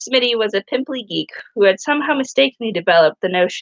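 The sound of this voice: An unforced reading voice with lively intonation and a quiet background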